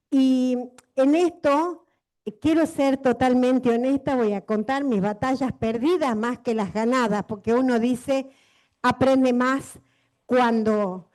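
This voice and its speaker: Against a quiet background, a woman talks at a very slow pace with a high pitch. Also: ordinary pitch variation. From Argentina, Jujuy (La Quiaca). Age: 60s. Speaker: researcher and Andean food producer. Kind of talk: conference panel talk. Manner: hesitant, many fillers.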